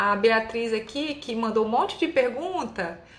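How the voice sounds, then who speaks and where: With lively intonation, a woman talks over noticeable background noise, and audible room echo surrounds her voice. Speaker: allergist doctor. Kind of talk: live Q&A. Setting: live stream.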